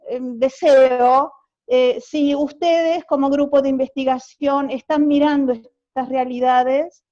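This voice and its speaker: Speaking very slowly, a woman with a high pitch and a dark, mellow tone keeps her intonation fairly even. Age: 60s. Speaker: university teacher. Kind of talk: academic video call discussion.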